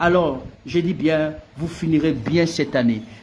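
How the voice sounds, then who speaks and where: There is audible room echo as a man speaks in a fairly high voice with ordinary pitch variation. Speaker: pastor. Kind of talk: sermon. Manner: animated.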